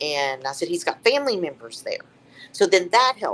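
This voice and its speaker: A woman with a Southern US accent talks at a fairly quick pace and a fairly low pitch, with very wide pitch swings. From Tennessee. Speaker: psychic medium. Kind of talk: storytelling interview. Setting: live stream. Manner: matter-of-fact.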